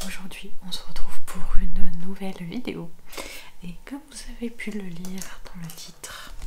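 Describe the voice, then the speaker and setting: A soft-spoken woman's calm, medium-pitched voice with fairly even intonation, over noticeable background noise. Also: fairly slow pace, big swings in loudness. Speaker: ASMR creator and book reviewer. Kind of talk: casual talk to camera, book review. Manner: soft-spoken, calm.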